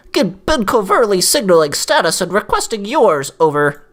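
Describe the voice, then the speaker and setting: A put-on character voice at middle pitch moves along at a moderate pace. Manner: geeky, earnest, radio-style.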